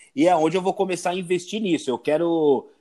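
A man speaks with a fairly high pitch and a dark, mellow tone. The recording is very clean, with a silent background. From São Paulo, east zone (Itaim Paulista). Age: 40s. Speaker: tattoo artist and surfer. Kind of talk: casual chat.

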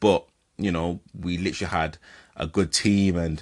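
Over music in the background, a man with a very deep, low pitch speaks in a monotone, flat way at a fairly slow pace. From northern England (Leeds). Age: 30s. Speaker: podcast host, amateur footballer. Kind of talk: casual solo monologue. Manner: hesitant, many filler words.

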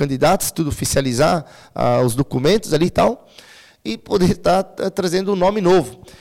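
A man's fairly high voice, with ordinary pitch variation, moves at a moderate pace. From Santa Catarina, Brazil (Timbó). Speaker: local politician. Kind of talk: interview. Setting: studio. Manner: halting.

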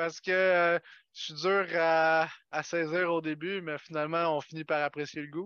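In a Quebec accent, a man talks at a fairly slow pace with a fairly high pitch and monotone, flat intonation. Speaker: podcast guest. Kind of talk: casual chat.

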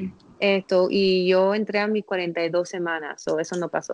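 The sound is dry and close, with no echo. A woman talks fairly slowly in a fairly low, monotone, flat voice. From Miami, US. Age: 30s. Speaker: placenta encapsulation specialist. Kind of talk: casual interview, birth story.

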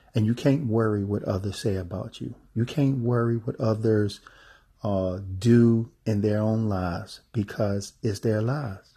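Against a quiet background, a man talks at a fairly slow pace in a fairly low, somewhat breathy voice with a dark, mellow tone and fairly even intonation. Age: 40s. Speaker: podcast host and travel specialist. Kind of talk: motivational monologue. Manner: halting with many fillers and repetitions.

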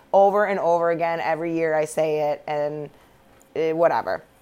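A woman talks at a moderate pace in a normal speaking voice, her pitch fairly low with ordinary variation. The recording is very clean, with a silent background. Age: 30s. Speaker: sports podcaster. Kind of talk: casual solo commentary. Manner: casual, filler-heavy.

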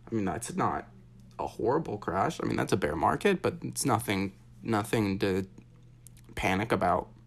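With vocal fry and very wide pitch swings, a man talks at a moderate pace, broken by long, frequent pauses. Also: fairly low pitch for a man. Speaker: daily markets podcast host. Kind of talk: solo market commentary with chart walkthrough. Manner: casual, many fillers and self-corrections.

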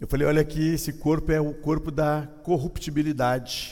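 A dark, mellow tone at a moderate pace, with audible room echo. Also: man. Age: 50s. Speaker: pastor. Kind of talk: sermon.

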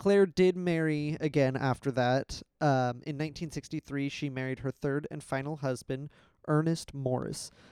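An unremarkable speaking voice at a moderate pace with fairly even intonation, recorded very cleanly against a silent background with a dry, close sound and no echo. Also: man, fairly high pitch for a man. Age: 20s. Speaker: podcast co-host telling inspirational stories. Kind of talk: casual storytelling chat.

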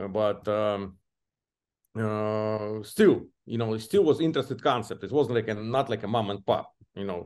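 Fairly low in pitch, a man speaks with an Eastern European accent and ordinary pitch variation. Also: moderate pace, quiet background. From Belarus. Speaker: franchise area developer. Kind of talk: interview conversation. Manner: halting, with fillers.

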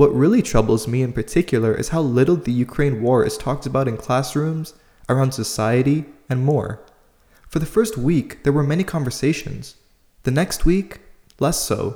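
This man has a dark, mellow tone and a somewhat breathy, fairly high pitch. He speaks at a moderate pace with ordinary pitch variation. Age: 20s. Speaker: podcast host. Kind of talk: solo commentary monologue.

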